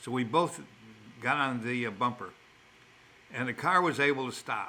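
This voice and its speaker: Speaking at a fairly slow pace with a Chicago accent, a man has a medium pitch and a bright, sharp tone. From Chicago, South Side. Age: old. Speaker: elderly father telling life stories. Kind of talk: storytelling in casual chat. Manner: halting, with repeated words.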